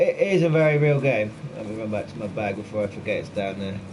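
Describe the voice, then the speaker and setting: A man with a West Country accent talks at a moderate pace with lively intonation. Audible room echo surrounds his voice. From Cornwall, southwest England. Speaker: gaming streamer. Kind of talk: casual live-stream chat while gaming. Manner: animated.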